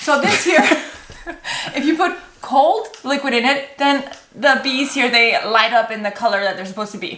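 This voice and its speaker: A woman with a high pitch and lively intonation speaks at a moderate pace, leaving long, frequent pauses. Audible room echo and noticeable background noise come through on the recording. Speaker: home organizing YouTuber. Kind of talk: casual chat.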